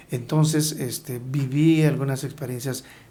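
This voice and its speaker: A man's somewhat breathy voice moves at a fairly slow pace, its intonation fairly even. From Hidalgo, Mexico. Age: 60s. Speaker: agrarian government official. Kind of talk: interview.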